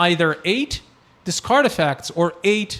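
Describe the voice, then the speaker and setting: Fairly high in pitch, a man's voice shows vocal fry and very wide pitch swings. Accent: slight Brazilian. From Brazil. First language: Portuguese. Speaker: card game content creator. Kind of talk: casual chat.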